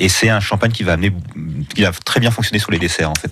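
Noticeable background noise sits behind a man's voice. He speaks at a fairly low pitch with ordinary pitch variation. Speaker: food critic and journalist. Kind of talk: radio interview. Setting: radio studio. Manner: hesitant, repeats words.

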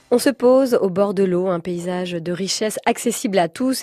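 A woman speaks with a dark, mellow tone at a medium pitch. The background is quiet. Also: dry, close sound with no echo. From Brittany. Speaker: radio host. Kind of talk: radio interview.

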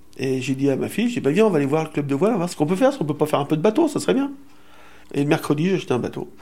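Lively in intonation, a man with a dark, mellow tone talks at a very fast pace. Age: 60s. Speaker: retiree. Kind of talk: interview testimony.

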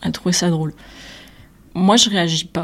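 A woman's monotone voice with flat intonation. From southern France, Nîmes. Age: 20s. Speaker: visual artist. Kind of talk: personal testimony.

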